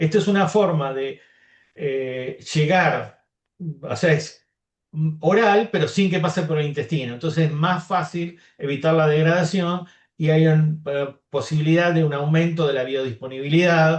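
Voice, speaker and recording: This man has a plain, everyday voice. His pitch sits fairly high, with ordinary pitch variation. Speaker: molecular biologist, researcher. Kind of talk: academic Q&A.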